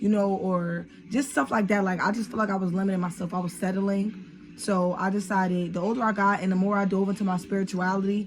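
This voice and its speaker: Very fast and monotone, a woman speaks in a somewhat breathy voice with flat intonation and very even loudness. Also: medium pitch for a woman. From Trenton, New Jersey, US. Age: 20s. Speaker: YouTuber. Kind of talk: casual vlog talk. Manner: casual, filler-heavy.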